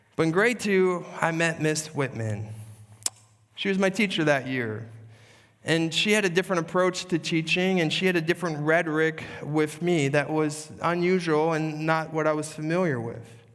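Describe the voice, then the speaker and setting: A man speaks at a fairly high pitch. Audible echo from the room can be heard. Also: ordinary pitch variation, moderate pace. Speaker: pastor. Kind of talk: sermon.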